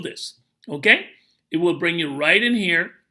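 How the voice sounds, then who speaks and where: At a fairly slow pace, a man speaks in a high pitch with a bright, sharp tone and ordinary pitch variation. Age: 60s. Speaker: network marketing promoter. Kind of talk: tutorial.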